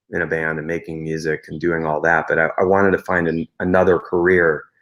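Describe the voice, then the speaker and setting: A man talks at a moderate pace. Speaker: rock musician and producer. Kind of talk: interview. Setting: live online interview.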